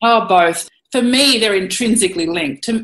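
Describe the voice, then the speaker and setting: With a rural Australian accent, a woman speaks with ordinary pitch variation. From Queensland, Australia (Monto, North Burnett). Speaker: cattle producer and former photojournalist. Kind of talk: interview. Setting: at home, remote interview.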